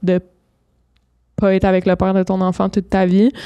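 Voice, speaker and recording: Against a quiet background, a woman with a Quebec accent speaks at a moderate pace and medium pitch. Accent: Québécois French. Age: 20s. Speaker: entrepreneur and single mother; podcast guest. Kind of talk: casual chat. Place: studio. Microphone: studio mic.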